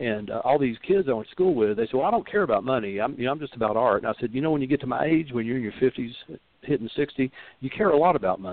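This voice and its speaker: Very fast delivery with lively intonation. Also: man, medium pitch for a man. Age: 60s. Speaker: rootworker and reader. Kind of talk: call-in advice show. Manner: halting, many fillers.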